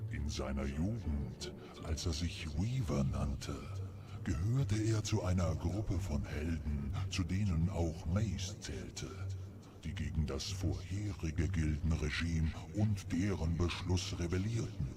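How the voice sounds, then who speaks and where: A man's put-on character voice, very deep and low, at a fairly slow pace amid loud background noise. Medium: video game. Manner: solemn, measured.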